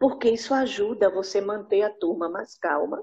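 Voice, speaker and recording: Somewhat breathy and lively in intonation, a woman speaks at a moderate pace. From Northeast Brazil, Recife, Pernambuco. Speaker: English teacher, workshop participant. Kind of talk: participant comment.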